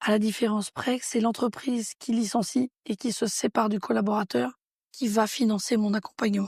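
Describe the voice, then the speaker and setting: At a moderate pace, a woman's fairly high, somewhat breathy voice holds very even loudness and fairly even intonation. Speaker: entrepreneur. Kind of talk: interview.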